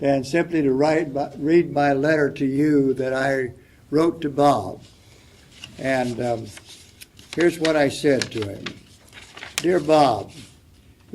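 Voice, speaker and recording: Speaking at a very slow pace with long, frequent pauses, a man uses a fairly high pitch and ordinary pitch variation over noticeable background noise. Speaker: panelist. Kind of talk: panel discussion. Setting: stage with audience.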